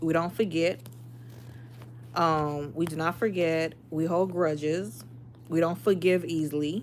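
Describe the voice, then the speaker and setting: Speaking at a fairly slow pace, a woman has an American accent. Her fairly low voice shows ordinary pitch variation. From Miami, Florida, Haitian family. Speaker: livestreamer. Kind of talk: casual chat. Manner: animated.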